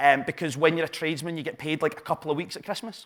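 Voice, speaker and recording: Animated in tone, a man speaks with a Glaswegian accent. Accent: Glaswegian Scottish. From Scotland, Glasgow south side. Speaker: entrepreneur and business coach. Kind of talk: live talk to an audience. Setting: stage with audience.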